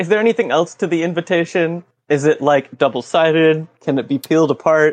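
A normal speaking voice from a man, fairly high in pitch with ordinary pitch variation, at a fairly quick pace, the sound dry and close with no echo. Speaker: tabletop game player. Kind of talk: tabletop role-playing game.

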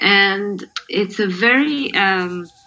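A woman speaks over noticeable background noise. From Israel. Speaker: singer and sound artist. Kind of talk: interview.

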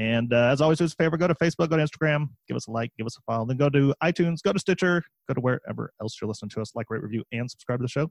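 Speaking at a very fast pace with hardly any pauses, a man has a fairly high pitch and ordinary pitch variation in a dry, close sound with no echo. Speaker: podcast host and land investor. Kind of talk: casual podcast interview.

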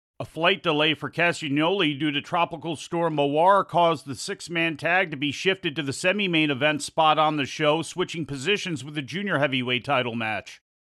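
In a normal speaking voice, a man with a fairly high pitch talks at a fairly quick pace with hardly any pauses and ordinary pitch variation. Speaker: news anchor. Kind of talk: news reading. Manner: formal.

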